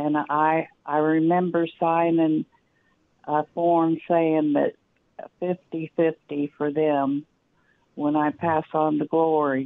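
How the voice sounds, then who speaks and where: A woman with an American accent speaks at a very slow pace, with long, frequent pauses and very even loudness. Her pitch is very deep and low, and her intonation is monotone and flat. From US Midwest. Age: 60s. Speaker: caller. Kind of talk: call-in question. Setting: phone call.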